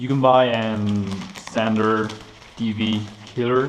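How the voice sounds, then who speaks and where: A man speaks at a very slow pace with a fairly low pitch and ordinary pitch variation, with audible room echo and noticeable background noise. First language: Spanish. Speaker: motorcycle mechanic youtuber. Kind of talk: tutorial. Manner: halting.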